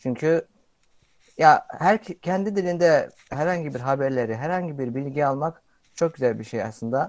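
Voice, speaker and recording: A man with a normal speaking voice talks at a fairly slow pace and a fairly high pitch, with ordinary pitch variation. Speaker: content creator. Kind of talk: casual chat.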